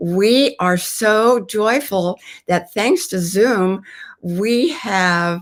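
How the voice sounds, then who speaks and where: A woman's medium-pitched voice, very slow in pace, with lively intonation. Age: 80s+. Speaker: author. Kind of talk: interview answer. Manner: vivacious.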